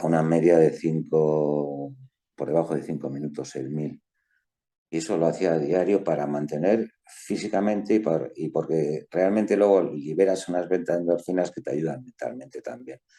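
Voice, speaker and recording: A man's very deep, low voice with a dark, mellow tone, a Madrid accent, ordinary pitch variation, and a moderate pace. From Spain, Madrid. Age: 60s. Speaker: lawyer and author. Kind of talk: interview.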